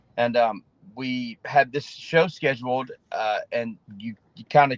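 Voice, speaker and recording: Recorded with a dry, close sound and no echo, a man with an Alabama accent speaks at a medium pitch. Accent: Southern US (Alabama). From Alabama (Opelika), US South. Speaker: singer-songwriter. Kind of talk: interview. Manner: halting.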